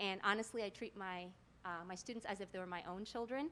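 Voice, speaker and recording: A plain, everyday voice from a woman, medium in pitch with ordinary pitch variation, at a fairly quick pace. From US, Mexican American family. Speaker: Spanish teacher. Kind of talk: self-introduction.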